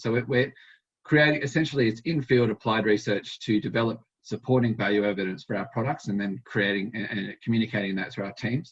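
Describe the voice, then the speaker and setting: A man with an Australian accent talks at a very fast pace, his medium-pitched voice somewhat breathy. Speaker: dairy vet and animal health researcher. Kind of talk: conference presentation. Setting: conference talk to an audience. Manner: hesitant, with many fillers and repetitions.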